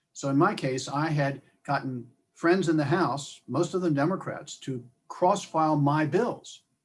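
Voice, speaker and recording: With ordinary pitch variation, a man speaks in a fairly high pitch that is somewhat breathy. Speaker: state senator. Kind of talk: talk to alumni group.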